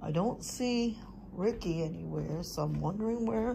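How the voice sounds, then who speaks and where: Dark, mellow tone, somewhat breathy, at a moderate pace over light background noise. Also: woman. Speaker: family vlogger. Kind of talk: casual vlog chat. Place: home room. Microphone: phone near.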